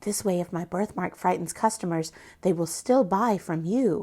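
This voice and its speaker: A woman's gruff, put-on character voice, medium in pitch, at a moderate pace. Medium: read story.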